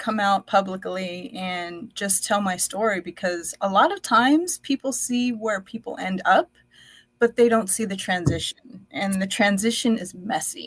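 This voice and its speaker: A somewhat breathy woman with an American accent and medium pitch talks at a fairly slow pace with ordinary pitch variation. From United States, child of Indonesian-Dutch immigrants. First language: Dutch. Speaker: entrepreneur. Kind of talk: personal testimony in a live podcast.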